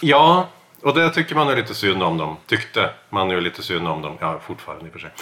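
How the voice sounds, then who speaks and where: With a fairly low pitch, a man talks fairly quickly, his pitch swinging very widely and his loudness rising and falling sharply. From Norway. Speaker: podcast co-host. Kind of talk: casual chat.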